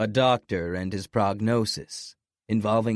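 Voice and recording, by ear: Natural reading aloud over a quiet background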